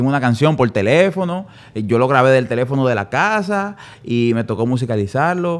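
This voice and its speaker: A man with a normal speaking voice talks at a fairly quick pace, using a medium pitch and lively intonation. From Dominican Republic, San Pedro de Macorís. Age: 30s. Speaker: music producer. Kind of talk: casual interview.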